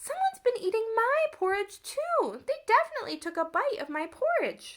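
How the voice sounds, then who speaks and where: Squeaky and extremely high-pitched, a woman performs a put-on character voice. Her pitch swings very widely at a moderate pace. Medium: read story.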